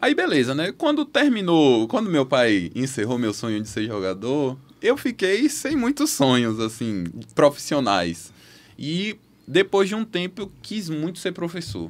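A man speaks at a fairly slow pace. His fairly high pitch moves in very wide swings. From Bahia, Brazil (Feira de Santana); Bahia, Brazil. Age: 20s. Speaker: medical student; podcast guest. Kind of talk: casual chat. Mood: earnest, testimonial. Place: studio. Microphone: studio mic.

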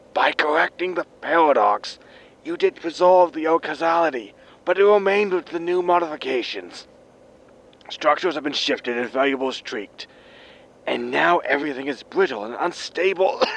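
A man puts on a raspy character voice at a high pitch. He keeps a moderate pace. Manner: grim, scolding, threatening.

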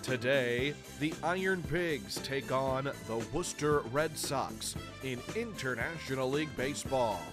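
A man at a medium pitch, with an energetic tone, ordinary pitch variation and a fairly slow pace over music in the background. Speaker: public address announcer. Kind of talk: stadium public address announcement. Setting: PA system. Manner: polished, energetic.

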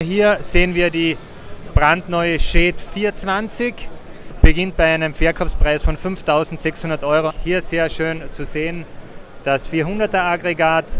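Over light background noise, a man with a high pitch speaks very slowly with fairly even intonation, the sound dry with no echo. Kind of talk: interview answer. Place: hall. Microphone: handheld.

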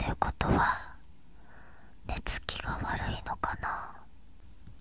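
A woman is whispering at a very slow pace. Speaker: ASMR creator. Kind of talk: soft whispered ASMR talk. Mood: gentle, comforting, praising. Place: home room. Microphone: studio mic.

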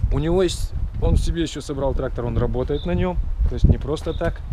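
There is light background noise. A man speaks at a moderate pace. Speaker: vlogger visiting a parts yard. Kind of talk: casual vlog chat. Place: open country. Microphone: phone near.

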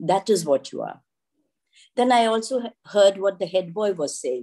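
A woman with an Indian accent talks at a moderate pace in a dark, mellow tone with ordinary pitch variation over a quiet background. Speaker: school director. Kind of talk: ceremonial address; ceremonial speech. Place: home room. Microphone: video call.

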